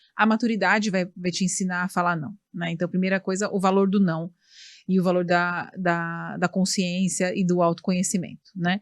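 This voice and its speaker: At a moderate pace, a woman speaks in a medium pitch with monotone, flat intonation. The background is quiet. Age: 40s. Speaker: podcast host. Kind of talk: interview.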